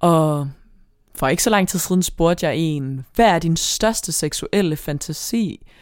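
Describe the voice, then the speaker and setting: The speech moves at a very slow pace with ordinary pitch variation. The recording is very clean with a silent background. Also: woman, fairly low pitch for a woman. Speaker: podcast co-host. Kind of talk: casual chat.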